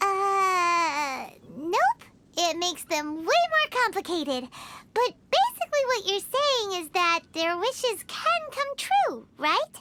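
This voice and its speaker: A put-on character voice, squeaky and extremely high-pitched, moves at a fairly slow pace. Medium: video game. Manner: casual.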